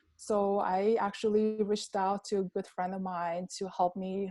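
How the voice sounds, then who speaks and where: A woman speaks with an Armenian accent in a dark, mellow tone at medium pitch, her intonation monotone and flat. The recording is very clean, and the background is silent. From Armenia, Yerevan. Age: 30s. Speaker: pharmacist. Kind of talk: interview.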